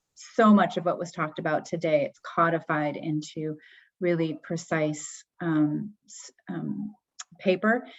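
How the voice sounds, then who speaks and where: In a normal speaking voice, a woman with a fairly low pitch talks at a fairly slow pace, her intonation fairly even but her loudness swinging widely. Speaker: webinar moderator. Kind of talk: closing remarks of a webinar.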